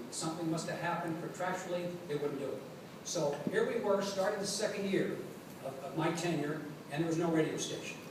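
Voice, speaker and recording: Fairly even intonation and a fairly quick pace come through noticeable background noise. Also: man, high pitch for a man. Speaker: radio play-by-play announcer. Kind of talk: hall of fame acceptance speech, storytelling to an audience.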